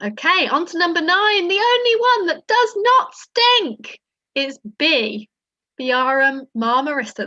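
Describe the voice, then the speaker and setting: A woman's extremely high, bright, sharp voice at a very slow pace, with very wide pitch swings and a dry, close sound with no echo. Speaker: quiz host. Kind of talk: online quiz presentation. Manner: whispering at one point.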